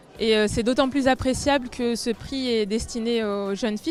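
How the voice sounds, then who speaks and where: Music plays in the background. The speech moves at a fairly quick pace with fairly even intonation. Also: woman. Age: 20s. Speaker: engineering student, award winner. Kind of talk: prepared testimony. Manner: hesitant, many filler sounds.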